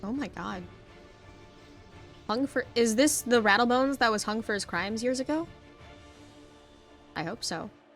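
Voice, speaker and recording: Backed by music in the background, a woman with a fairly high pitch speaks with long, frequent pauses. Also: ordinary pitch variation, moderate pace. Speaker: gamer. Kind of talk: casual gameplay commentary. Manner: casual, chatty.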